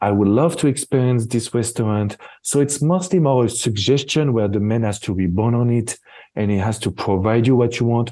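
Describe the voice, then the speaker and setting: With a French accent, a man talks at a moderate pace and medium pitch with ordinary pitch variation against a quiet background. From France. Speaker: relationship expert. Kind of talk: interview conversation.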